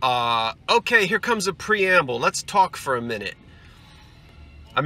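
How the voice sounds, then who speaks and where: With a raised, projected voice, a man talks at a fairly slow pace over faint background music, the sound dry with no echo. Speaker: antiques reseller vlogger. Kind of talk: casual vlog chat. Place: car. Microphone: phone near.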